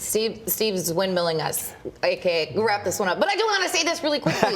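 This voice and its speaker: Amid noticeable background noise, a woman speaks in an upbeat, playful tone with very wide pitch swings. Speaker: TV news anchor. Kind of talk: casual, bantering talk with co-anchor on a midday show.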